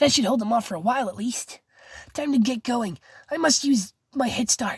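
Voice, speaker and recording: In a put-on character voice, a woman speaks fairly quickly, high and raspy with ordinary pitch variation, in a dry, close sound with no echo. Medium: read story.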